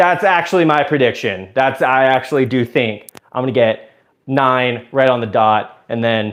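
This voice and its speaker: A man with an American accent, medium pitch, moderate pace, and a plain, everyday voice. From US South, Georgia (Suwanee). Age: 20s. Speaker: live streamer. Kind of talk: casual live stream chat.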